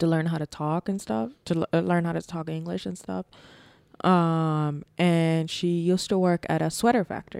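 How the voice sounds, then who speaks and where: An ordinary speaking voice from a woman, fairly low in pitch, at a moderate pace with ordinary pitch variation and a dry, close sound with no echo. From New York, born in Bangladesh. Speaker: podcast co-host, mother. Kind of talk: casual chat.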